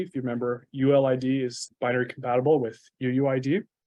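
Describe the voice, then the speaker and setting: The man speaks at a medium pitch. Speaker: software developer, meetup speaker. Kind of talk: technical talk. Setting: meetup with live audience. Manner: fast.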